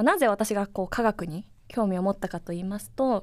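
The recording is very clean and the background silent. A woman speaks at a moderate pace. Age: 30s. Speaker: science communicator and associate professor. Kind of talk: casual podcast monologue. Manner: animated.

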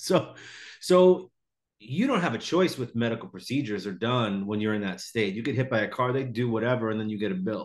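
A man with an unremarkable speaking voice talks at a fairly quick pace and medium pitch. The background is quiet. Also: lively intonation. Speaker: podcast host, comedian. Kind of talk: casual interview chat.

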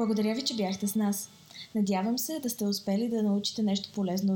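Speaking with a Bulgarian accent, a woman goes at a very fast pace with fairly even intonation. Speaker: podcast host. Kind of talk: scripted intro.

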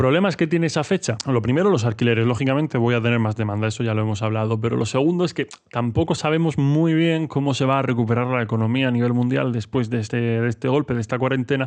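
A man at medium pitch talks at a very fast pace with hardly any pauses, ordinary pitch variation and very even loudness against a quiet background. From Murcia, Spain. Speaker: podcaster. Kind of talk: solo podcast monologue. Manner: casual.

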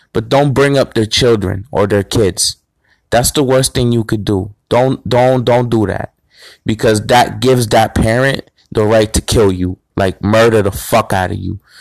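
Dry and close with no echo, a man's medium-pitched voice, an ordinary speaking voice, moves at a fairly slow pace with fairly even intonation. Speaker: podcast host. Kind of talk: angry rant.

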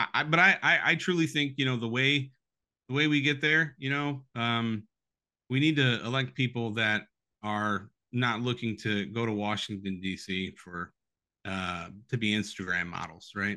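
A man speaks with a bright, sharp tone at a moderate pace. The background is quiet. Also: medium pitch for a man, lively intonation. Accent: Midwestern American. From Toledo, Ohio. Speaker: former congressional candidate. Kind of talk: political interview. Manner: halting, repeats words.

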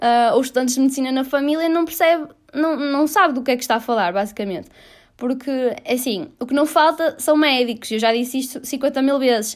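Recorded very cleanly against a silent background, a woman with a European Portuguese accent speaks at a fairly quick pace in a high pitch with ordinary pitch variation. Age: 20s. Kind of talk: solo opinion monologue. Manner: casual, with many fillers.

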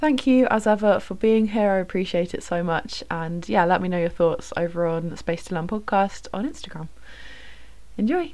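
Lively intonation runs through this woman's speech. She talks with a British accent. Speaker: podcast host, student. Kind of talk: casual chat. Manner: chatty, warm.

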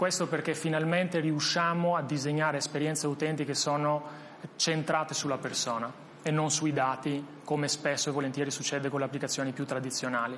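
A man talks at a fairly high pitch for a man, his intonation monotone and flat. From Albania, moved to Italy at 16. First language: Albanian (speaking Italian). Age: 30s. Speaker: tech startup founder and CEO. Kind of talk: interview. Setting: studio. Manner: halting, frequent repetitions.

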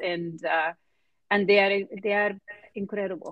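A woman with a Spanish accent, medium in pitch, fairly even in intonation and fairly slow in pace. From Argentina. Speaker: biotech executive. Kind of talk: interview.

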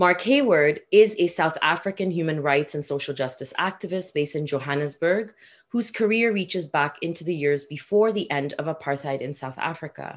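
A woman's very deep, low voice with ordinary pitch variation, a moderate pace and hardly any pauses. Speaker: podcast co-host. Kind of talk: moderated interview.

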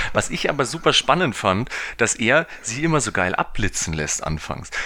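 A man is speaking. His intonation is lively. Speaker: film podcast co-host. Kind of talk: casual chat.

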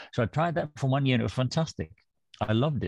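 A man with a Danish accent speaks with lively intonation and a somewhat breathy voice, in a dry, close sound with no echo and a quiet background. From Denmark, rural western. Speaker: author and theologian. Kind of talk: interview, personal story.

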